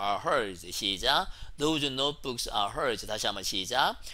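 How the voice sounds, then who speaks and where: Very slow and full of very wide pitch swings, a man's voice has vocal fry and a bright, sharp tone. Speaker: English teacher. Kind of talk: lecture. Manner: animated.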